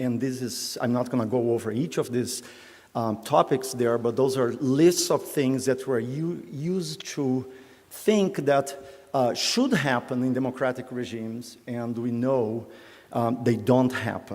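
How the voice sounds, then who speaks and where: A man talks at a fairly slow pace with a medium pitch and ordinary pitch variation. Audible room echo surrounds the voice. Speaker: professor. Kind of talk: lecture. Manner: hesitant, many fillers.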